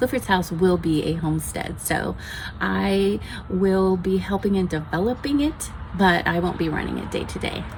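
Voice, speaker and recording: A woman talks at a moderate pace while noticeable background noise runs behind her. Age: 60s. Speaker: homesteading channel host. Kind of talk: casual chat, book review. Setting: outdoors on a patio.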